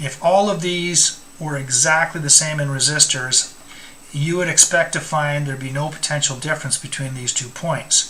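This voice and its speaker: Fairly high male voice at a moderate pace with fairly even intonation over noticeable background noise. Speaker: electronics instructor. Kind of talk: tutorial. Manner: halting, with fillers.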